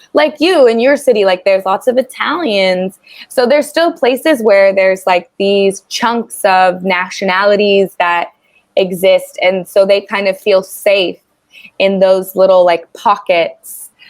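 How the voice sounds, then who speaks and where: A woman's normal speaking voice at medium pitch, with an American accent, ordinary pitch variation, very even loudness and a fairly slow pace. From US South, Tennessee. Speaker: online English tutor. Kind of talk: casual conversation lesson.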